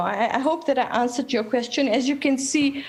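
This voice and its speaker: At a fairly quick pace, the voice carries an animated tone over noticeable background noise. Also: woman. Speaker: activist. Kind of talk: panel talk. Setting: video call. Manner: loud.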